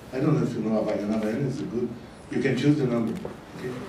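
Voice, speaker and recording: Noticeable background noise and audible room echo come through the recording. A man speaks with ordinary pitch variation. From Brazil. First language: Portuguese. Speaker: business consultant speaker. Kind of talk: conference talk. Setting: stage with audience. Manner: hesitant, many fillers.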